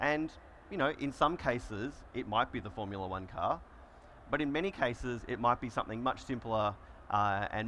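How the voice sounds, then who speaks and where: Bright and sharp in tone, a man talks at a fairly quick pace. His pitch sits in the medium range. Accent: Australian. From Australia, Melbourne. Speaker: solutions engineer presenting a conference session. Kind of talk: conference presentation. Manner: conversational, frequent fillers.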